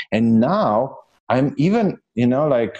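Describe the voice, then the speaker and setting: Lively intonation and a dark, mellow tone come with a Slovenian accent. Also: man. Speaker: entrepreneur and coach. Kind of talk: interview.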